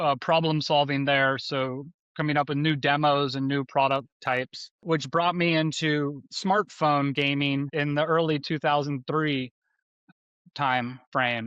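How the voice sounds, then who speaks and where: In a dry, close recording with no echo and a quiet background, a man with an American accent talks at a fairly slow pace, with a fairly high pitch and fairly even intonation. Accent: Texan accent, stronger when relaxed. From Texas, Austin. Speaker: design leader. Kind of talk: interview. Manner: halting.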